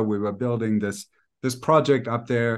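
A man speaks with a German accent. His pace is moderate. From Germany. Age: 40s. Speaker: life coach. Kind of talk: casual interview.

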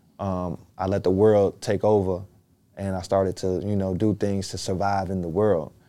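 On a very clean recording with a silent background, a man with an American accent and a very deep, low pitch speaks at a moderate pace in a dark, mellow tone with a monotone, flat intonation. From Chicago. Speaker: rapper and actor. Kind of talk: casual interview chat.

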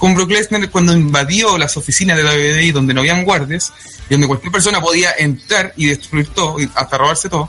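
A man with a Chilean accent, at a fairly high pitch with ordinary pitch variation, a fairly quick pace and very even loudness, with music in the background. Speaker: wrestling podcast panelist. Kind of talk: casual chat. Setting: online voice call.

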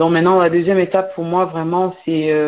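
A woman's fairly low-pitched voice. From Cameroon. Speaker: entrepreneur and author. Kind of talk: radio interview. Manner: hesitant, many fillers and repetitions.

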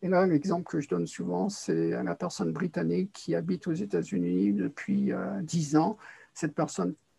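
With vocal fry and a dark, mellow tone, a man speaks at a moderate pace and fairly high pitch, his pitch swinging very widely. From France and English boarding school. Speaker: linguistics professor. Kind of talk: interview. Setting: remote call. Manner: halting.

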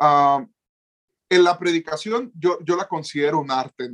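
This man speaks with a northern Mexican accent and ordinary pitch variation, recorded with a dry, close sound and no echo. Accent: northern Mexican Spanish (Sonora). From Mexico, Sonora. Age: 20s. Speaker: youth pastor and preacher. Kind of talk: casual chat.

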